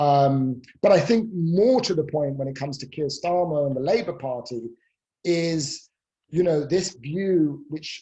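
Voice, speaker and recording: A fairly high-pitched man with a British accent, fairly slow pace and ordinary pitch variation. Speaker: professor. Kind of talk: panel Q&A on politics.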